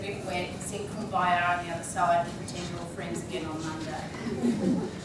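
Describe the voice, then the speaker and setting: Noticeable background noise and audible room echo surround this woman's voice. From Australia. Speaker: leadership trainer and keynote speaker. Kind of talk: conference keynote talk to audience. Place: meeting room.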